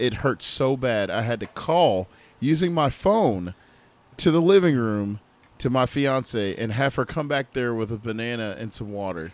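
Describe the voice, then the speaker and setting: Speaking fairly slowly with lively intonation, a man has an unremarkable speaking voice at medium pitch. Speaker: podcast co-host. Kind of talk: casual chat.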